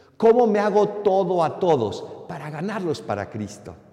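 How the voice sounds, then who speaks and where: In a recording with audible room echo and noticeable background noise, a man with a high pitch speaks at a fairly slow pace. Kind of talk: sermon.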